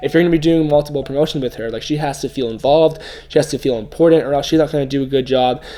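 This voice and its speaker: A man races along at a very fast pace with fairly even intonation. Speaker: ecommerce YouTuber. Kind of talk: tutorial. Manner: casual, filler-heavy. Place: home room.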